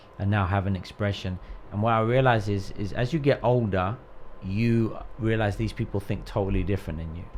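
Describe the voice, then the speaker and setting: Speaking at a fairly quick pace, a man uses an ordinary speaking voice with a fairly low pitch. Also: ordinary pitch variation. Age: 40s. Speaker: pastor. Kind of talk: casual chat.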